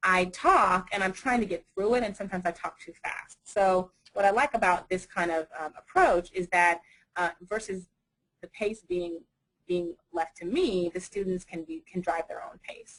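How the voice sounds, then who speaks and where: A woman's voice with fairly even intonation and big swings in loudness. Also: medium pitch for a woman. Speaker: university instructor. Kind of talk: webinar presentation. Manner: fast.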